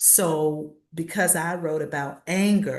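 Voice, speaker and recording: The speaker has an American accent and fairly even intonation. Audible room echo is present. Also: woman. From Virginia, US South. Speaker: author. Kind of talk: interview. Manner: halting.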